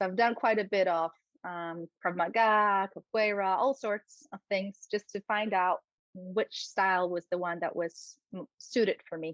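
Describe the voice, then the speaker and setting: Speaking fairly slowly with a Polish accent, a woman keeps a medium pitch and fairly even intonation. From Poland. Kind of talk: interview.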